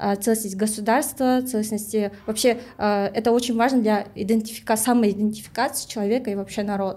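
Speaking in a Kyrgyz accent at a moderate pace, a woman uses a fairly high pitch, a dark, mellow tone, and monotone, flat intonation. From Kyrgyzstan. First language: Kyrgyz (speaking Russian). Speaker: language activist, project creator. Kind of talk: podcast discussion.

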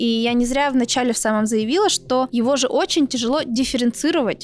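A woman talks at a very fast pace with hardly any pauses, her pitch high with ordinary variation. Noticeable background noise runs underneath. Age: 20s. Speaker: journalist, podcast host. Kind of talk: casual chat.

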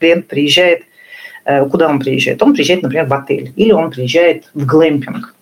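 At a moderate pace and fairly low pitch, a woman talks in an ordinary speaking voice. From northern Russia. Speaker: tourism entrepreneur. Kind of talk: interview.

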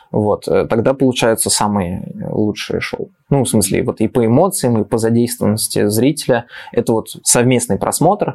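Speaking with lively intonation, a man at medium pitch has a dark, mellow tone. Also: moderate pace. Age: 30s. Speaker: children's science show presenter. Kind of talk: casual chat. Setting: studio.

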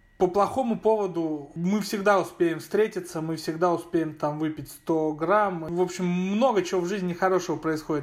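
A man's high voice with ordinary pitch variation, at a moderate pace. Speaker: chief editor of a media outlet. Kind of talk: recorded personal story.

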